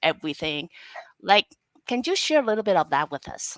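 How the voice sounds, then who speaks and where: A woman with a Chinese accent speaks at a moderate pace in a dry, close sound with no echo. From Taiwan. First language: Mandarin Chinese. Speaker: talk show host. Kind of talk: interview. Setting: live online broadcast.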